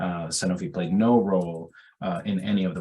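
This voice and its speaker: Amid audible room echo, a man with a very deep, low voice talks at a very fast pace. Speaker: pediatrician and researcher. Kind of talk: webinar lecture. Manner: hesitant with fillers.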